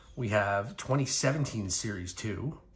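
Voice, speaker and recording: This man talks in a fairly low voice with ordinary pitch variation, noticeable background noise behind him. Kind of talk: casual vlog chat. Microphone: phone near.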